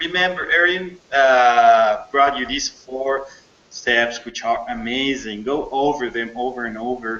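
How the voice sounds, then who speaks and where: A man speaks with a non-native accent at medium pitch and a fairly slow pace, with ordinary pitch variation. Noticeable background noise is present. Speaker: program host, interviewer. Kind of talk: interview. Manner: halting.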